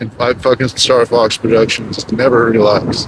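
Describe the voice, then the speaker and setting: A man's voice over noticeable background noise. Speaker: ebike vlogger and streamer. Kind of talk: casual vlog commentary while riding. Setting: outdoors on an ebike. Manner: loud at times.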